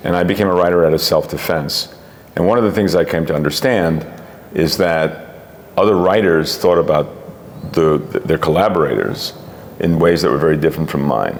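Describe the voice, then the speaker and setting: A man's very deep, low voice, fairly quick yet broken by long, frequent pauses, with ordinary pitch variation, very even loudness and noticeable background noise. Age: 70s. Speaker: comic book writer and artist. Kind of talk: interview. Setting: comics convention.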